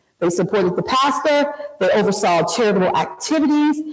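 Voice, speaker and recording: Audible room echo carries a woman's voice as it makes very wide pitch swings. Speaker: community historian and speaker. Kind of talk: public history lecture. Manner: occasional stumbles over words; conversational, animated.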